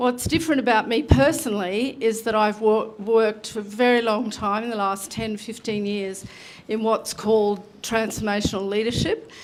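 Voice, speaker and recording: A woman with an Australian accent speaks at a moderate pace and a fairly high pitch, keeping her intonation fairly even. Noticeable background noise runs underneath. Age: 60s. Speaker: election candidate. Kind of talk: public forum answer.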